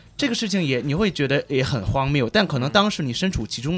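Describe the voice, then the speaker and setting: A man speaks at a very fast pace, his fairly high voice full of lively intonation. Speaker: graduate student, former journalist. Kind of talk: radio panel discussion. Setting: radio studio.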